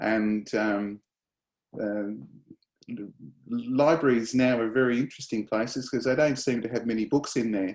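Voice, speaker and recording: A man with an Australian accent talks at a moderate pace with fairly even intonation and long, frequent pauses. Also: medium pitch for a man. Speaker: professor. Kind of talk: lecture. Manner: halting, many fillers.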